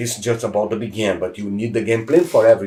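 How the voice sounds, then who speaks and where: Talking at a very fast pace, a man has a medium-pitched, somewhat breathy voice with a dark, mellow tone. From Brazil. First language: Portuguese. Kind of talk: podcast interview.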